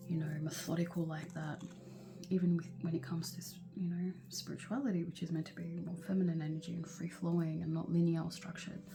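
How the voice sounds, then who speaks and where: The speaker whispers at a very fast pace. Noticeable background noise is present. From Lebanon. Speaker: tarot reader. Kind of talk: casual monologue to viewers. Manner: whispering; casual with frequent fillers and swearing.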